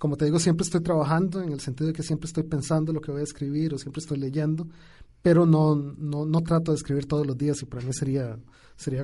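Fairly high for a man, his dark, mellow voice is somewhat breathy and moves very fast with fairly even intonation. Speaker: poet. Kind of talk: radio interview. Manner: halting, many repetitions.

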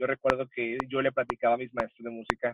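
A man's medium-pitched voice in a dry, close sound with no echo. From El Paso, Texas (US–Mexico border). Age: 20s. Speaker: church worship musician. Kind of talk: casual interview chat.

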